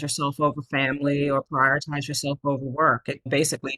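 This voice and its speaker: Delivered fairly quickly, the speech has a dry, close sound without any echo. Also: woman. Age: 50s. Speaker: coaching client and business consultant. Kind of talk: interview testimony.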